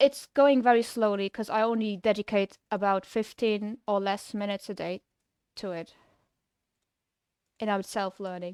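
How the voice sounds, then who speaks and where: A woman with a strong Luxembourg accent speaks at a moderate pace with fairly even intonation and long, frequent pauses, on a very clean recording with a silent background. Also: medium pitch for a woman, big swings in loudness. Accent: thick Luxembourgish. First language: Luxembourgish. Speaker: game developer streamer. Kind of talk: casual livestream chat. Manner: casual, hesitant with fillers.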